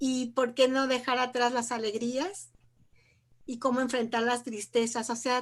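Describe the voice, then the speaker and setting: In a very clean recording with a silent background, a woman speaks fairly slowly in a high pitch with monotone, flat intonation. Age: 60s. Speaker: retired pediatrician and researcher. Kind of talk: casual panel chat.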